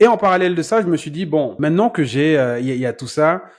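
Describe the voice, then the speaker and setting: With a quiet background behind him, a man keeps a fairly quick pace. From Cameroon. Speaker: business coach. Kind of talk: podcast interview.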